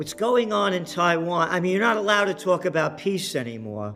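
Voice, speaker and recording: Over music in the background, a man with an American accent speaks at a high pitch. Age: 70s. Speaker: economic commentator. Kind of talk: interview. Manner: animated.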